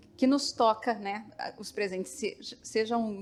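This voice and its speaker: A woman with a São Paulo accent, ordinary pitch variation, and noticeable background noise. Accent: paulista. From São Paulo, Brazil. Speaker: literature researcher. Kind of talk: panel talk. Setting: auditorium with audience.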